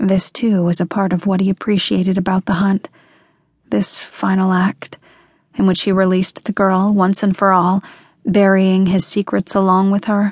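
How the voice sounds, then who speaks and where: A woman of medium pitch speaks at a moderate pace in a flat monotone, somewhat breathy, with very even loudness and a dry, close sound with no echo. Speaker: audiobook narrator. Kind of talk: dramatic audiobook narration of a dark thriller, reading aloud. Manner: dramatic, measured and intense.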